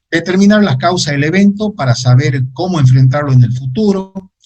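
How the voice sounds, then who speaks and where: Somewhat breathy speech at a moderate pace, with lively intonation. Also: man. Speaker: geographer giving a talk. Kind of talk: lecture. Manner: halting with many fillers.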